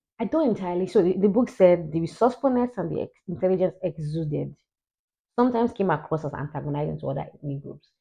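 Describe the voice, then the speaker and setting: Very fast speech broken by long, frequent pauses. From Nigeria. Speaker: YouTuber discussing history and politics. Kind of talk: casual commentary on a book. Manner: loud.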